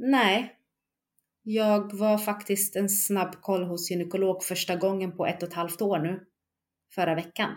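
A woman with a plain, everyday voice, medium in pitch, fairly slow in pace, fairly even in intonation. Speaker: bereaved mother. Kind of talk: testimony.

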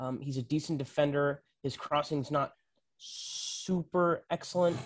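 On a very clean recording with a silent background, a man speaks in a monotone, flat intonation. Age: 20s. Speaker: soccer podcast co-host. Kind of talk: casual chat.

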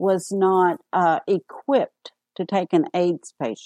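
In a Southern US accent, a woman speaks at a fairly slow pace in a medium pitch, her tone dark and mellow and the sound dry and close with no echo. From US South, Arkansas. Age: 60s. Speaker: AIDS caregiver and author. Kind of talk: interview.

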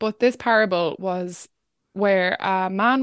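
Here a woman speaks at a medium pitch with fairly even intonation. The sound is dry and close with no echo, over a quiet background. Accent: Irish. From Ireland, rural County Wexford. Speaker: climate podcast host and activist. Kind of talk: interview.

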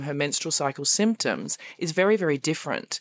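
In a very clean recording with a silent background and a dry, close sound with no echo, a woman with an Australian accent speaks at a fairly quick pace in a very deep, low voice with ordinary pitch variation. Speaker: fitness coach. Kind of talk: interview.

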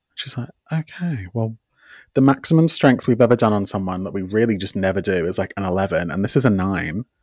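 Very clean and silent in the background, the recording has a man speaking at a very fast pace. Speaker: podcast co-host. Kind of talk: casual chat. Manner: short choppy phrases.

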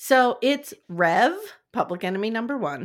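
Lively intonation in plain reading aloud, quiet background behind it

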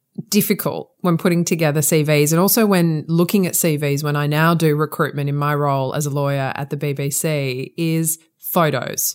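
In a very clean recording with a silent background, a woman with a very deep, low pitch talks at a moderate pace with fairly even intonation. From Australia (Sydney). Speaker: podcast host and lawyer. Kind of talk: interview.

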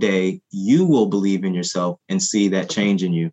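An ordinary speaking voice: a man with an American accent, fairly low pitch, and ordinary pitch variation. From US Midwest, Ferguson Missouri. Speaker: professor and nonprofit director. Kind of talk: interview.

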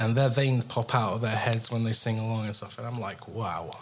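In an English accent, a man speaks at a moderate pace with a medium pitch and monotone, flat intonation, with audible room echo. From England. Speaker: guitarist. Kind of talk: casual chat. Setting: stage with audience.

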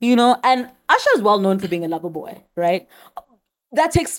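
A woman talks at a fairly quick pace in a fairly high pitch, her tone animated. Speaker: podcast host. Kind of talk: casual chat. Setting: studio.

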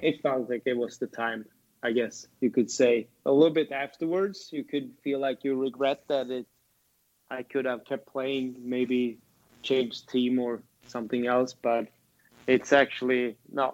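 A man's medium-pitched voice moves along fairly slowly, its intonation staying fairly even. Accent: Swedish. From Sweden. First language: Swedish. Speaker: former ice hockey player. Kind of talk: casual interview chat.

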